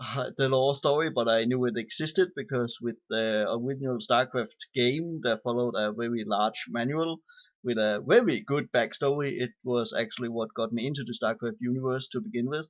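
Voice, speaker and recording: This man has a non-native accent and a medium pitch with ordinary variation. He keeps a moderate pace with hardly any pauses. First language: not English. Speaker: gamer reading game lore. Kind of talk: reading aloud. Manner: halting, stumbles over long words.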